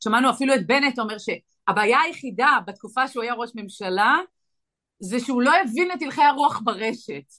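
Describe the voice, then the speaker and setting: Her pitch is high and her tone bright and sharp. The woman moves at a fairly quick pace with lively intonation. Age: 40s. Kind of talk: interview.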